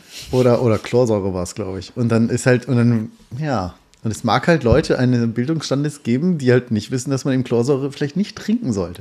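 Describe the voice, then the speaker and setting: Moving at a fairly quick pace, a man talks at a medium pitch in a dark, mellow tone with ordinary pitch variation. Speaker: podcast host. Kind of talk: casual chat. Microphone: poor audio quality.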